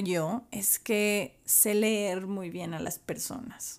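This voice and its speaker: Speaking very slowly, a woman uses a fairly high pitch with ordinary pitch variation. The recording is very clean, with a silent background. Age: 30s. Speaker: podcast host. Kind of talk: solo podcast monologue.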